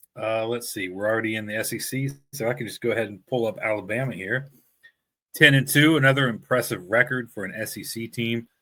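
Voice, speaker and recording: Speaking at a very fast pace, a man with a medium pitch and a bright, sharp tone keeps his intonation fairly even while his loudness swings widely, on a very clean recording with a silent background. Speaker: sports podcast host. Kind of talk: tutorial. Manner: casual, hesitant with fillers.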